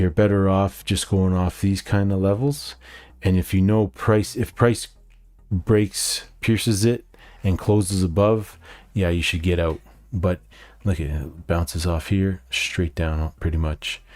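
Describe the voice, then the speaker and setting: A man with a Canadian accent talks at a fairly slow pace in a very deep, low voice with ordinary pitch variation. The recording is very clean, with a silent background. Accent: Canadian, noticeable in speech. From Canada. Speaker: day trader, market video host. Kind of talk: market recap tutorial. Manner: casual, with frequent fillers.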